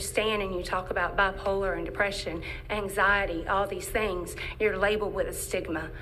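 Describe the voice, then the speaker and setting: A woman talks at a fairly quick pace in a North Carolina accent, with audible room echo and music playing in the background. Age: 40s. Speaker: business owner and patient advocate. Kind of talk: public testimony. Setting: legislative committee hearing. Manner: emotional, repeating words.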